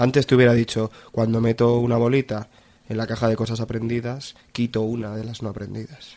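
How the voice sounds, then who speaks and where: Speaking at a fairly quick pace, a man uses a medium pitch and a dark, mellow tone. His intonation is monotone and flat. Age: 20s. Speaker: university student giving testimony. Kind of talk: testimony. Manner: halting, with many repetitions.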